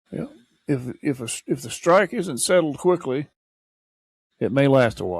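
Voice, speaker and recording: At a moderate pace, a man with an American accent and a fairly high pitch speaks with vocal fry, very wide pitch swings, big swings in loudness and long, frequent pauses, in a very clean recording with a silent background. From Missouri. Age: 70s. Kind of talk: casual podcast conversation.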